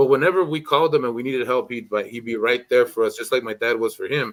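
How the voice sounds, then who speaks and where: The speaker has a Spanish accent and lively intonation. The recording is very clean, with a silent background. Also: man. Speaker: streamer. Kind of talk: casual chat.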